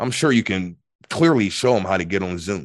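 An unremarkable speaking voice from a man, fairly low in pitch, at a fairly quick pace against a quiet background. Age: 40s. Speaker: spiritual teacher. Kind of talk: casual chat.

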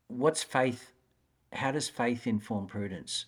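On a very clean recording with a silent background, a man with an Australian accent speaks at a fairly slow pace. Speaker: educator and author. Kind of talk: interview.

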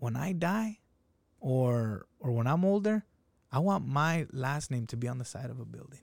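An unremarkable speaking voice, a man talks with lively intonation in a dry, close sound with no echo. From Salinas, California (Mexican-American). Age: 30s. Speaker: food business owner. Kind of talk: casual chat.

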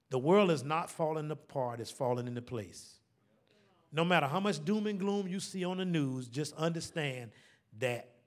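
Lively in intonation, a man with an American accent speaks at a moderate pace and a fairly high pitch, with audible room echo. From Savannah, Georgia (US South, Gullah Geechee background). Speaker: pastor. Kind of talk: sermon. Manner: call-and-response preaching.

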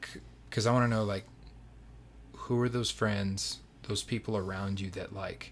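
Over a very clean recording with a silent background, a man speaks at a moderate pace. His fairly low voice is somewhat breathy, with fairly even intonation. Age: late 20s. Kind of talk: casual interview. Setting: home nursery room.

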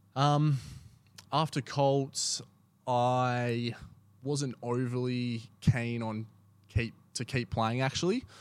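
Very slow speech in an Australian accent, fairly even in intonation and broken by long, frequent pauses, on a very clean recording with a silent background. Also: man, medium pitch for a man. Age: 20s. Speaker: amateur footballer. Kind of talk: casual chat.

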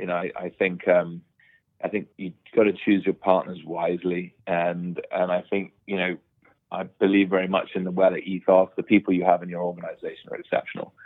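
A man talks at a fairly quick pace in a British accent. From Bahamas, with UK boarding school. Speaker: property developer. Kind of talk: interview. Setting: remote call from home.

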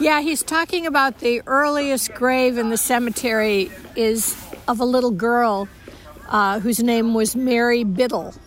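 Speaking at a fairly slow pace and a high pitch, a woman shows ordinary pitch variation amid noticeable background noise. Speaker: guest, family friend. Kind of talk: casual interview. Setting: outdoors at a cemetery.

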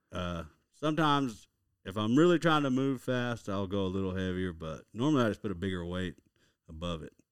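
Speaking in an Oklahoma accent, a man with a fairly low pitch makes very wide pitch swings. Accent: Oklahoma Southern drawl. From Oklahoma (Lawton, southwest). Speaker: fishing guide. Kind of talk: casual interview.

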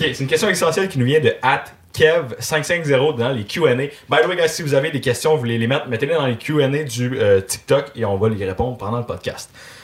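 A man with a Quebec accent speaks at a fairly high pitch. His voice is somewhat breathy, with ordinary pitch variation. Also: moderate pace. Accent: Québécois French. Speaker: podcast host. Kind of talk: casual chat. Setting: live-streamed podcast studio.

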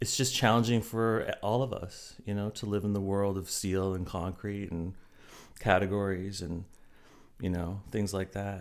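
An unremarkable speaking voice with a fairly slow pace and fairly even intonation, on a very clean recording with a silent background. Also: man. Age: 40s. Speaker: college instructor and novelist. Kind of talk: casual interview.

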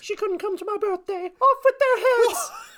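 This put-on character voice is extremely high-pitched, in a British accent. The pace is moderate. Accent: British, exaggerated. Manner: mock-imperious.

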